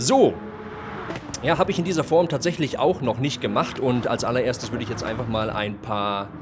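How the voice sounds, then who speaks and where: With a German accent, a man speaks at a medium pitch against noticeable background noise. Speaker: sim racing commentator. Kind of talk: live commentary. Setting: live stream. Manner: halting in English, searching for words.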